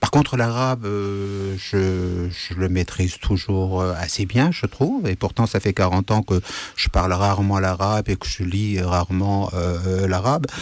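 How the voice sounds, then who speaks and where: At a fairly slow pace, a man with a Kurdish accent speaks in a fairly low voice with ordinary pitch variation. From Syria, Kurdish region (Amuda). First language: Kurdish (speaking French). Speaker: writer. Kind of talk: radio interview. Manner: hesitant, many fillers.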